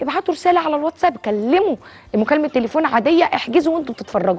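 A woman at a very fast pace, with lively intonation. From Egypt. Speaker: TV health show host and doctor; TV health show host. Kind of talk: TV sales pitch mixed with casual talk. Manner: animated. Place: studio. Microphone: lapel.

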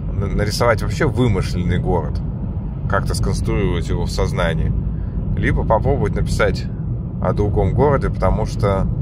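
Against loud background noise, a man speaks at a moderate pace with long, frequent pauses, his voice dry with no echo. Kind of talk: casual vlog chat. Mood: reflective, self-deprecating. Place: car.

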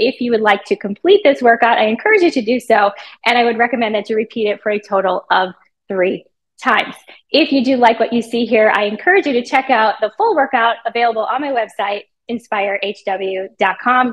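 Her pitch varies in an ordinary manner. The woman keeps a fairly quick pace. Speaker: fitness trainer. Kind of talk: promo intro and workout instruction. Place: gym.

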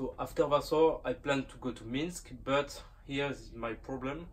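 The pace is fairly slow. It is a man talking. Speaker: train travel vlogger. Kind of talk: casual talk to camera. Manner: hesitant, many fillers. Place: train.

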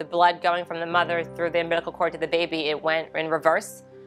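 Faint music plays behind a woman with an American accent and a fairly low pitch for a woman. She speaks very fast in a monotone, flat way. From Baltimore, Maryland, USA. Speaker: mother of a hospital patient. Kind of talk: interview answer. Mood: emotional, grateful. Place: studio.

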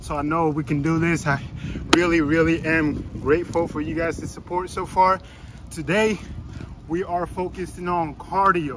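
Noticeable background noise surrounds a man's voice, which is dry with no echo. He speaks at a moderate pace. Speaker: fitness vlogger. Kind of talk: casual vlog chat. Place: open country. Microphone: phone near.

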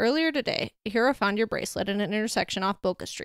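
The voice is plain reading aloud. It simply reads the words out.

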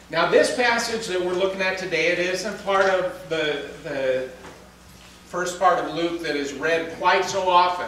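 Amid strong room echo, a man talks at a fairly slow pace in a high pitch, with a fairly bright tone and ordinary pitch variation.

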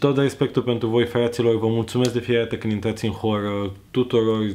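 This man has a fairly low pitch. His tone is slightly mellow.

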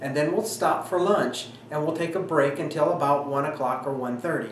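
The recording carries audible room echo and light background noise. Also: man. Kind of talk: informational talk to camera.

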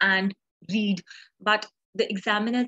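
A woman at a fairly slow pace, her intonation fairly even, against a quiet background. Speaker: online tutor. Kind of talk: lecture. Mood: friendly, encouraging.

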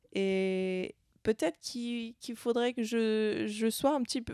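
With a quiet background and a dry sound with no echo, a woman speaks with fairly even intonation. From Switzerland. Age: 20s. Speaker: adventurer and family business member; interview guest. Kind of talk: interview. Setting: event venue. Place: meeting room. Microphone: handheld.

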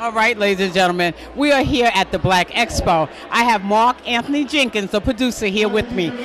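A woman's medium-pitched, fairly bright voice at a fairly quick pace, with ordinary pitch variation over faint background noise

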